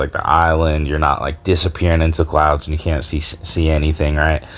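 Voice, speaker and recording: A man's relaxed voice at a fairly quick pace, with noticeable background noise. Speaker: gaming YouTuber. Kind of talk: game commentary voice-over. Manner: casual, relaxed.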